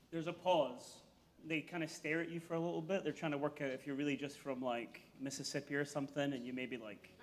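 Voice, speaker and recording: Talking at a very fast pace, a man with a Scottish accent has a fairly high pitch and fairly even intonation. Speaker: investigative reporter. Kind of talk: comedic interview.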